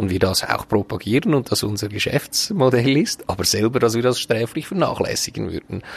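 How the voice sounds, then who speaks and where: With lively intonation and medium pitch, a man speaks at a moderate pace against noticeable background noise. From Switzerland, canton Glarus (Braunwald). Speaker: hotel owner and manager. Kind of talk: podcast interview. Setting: outdoors on a restaurant terrace.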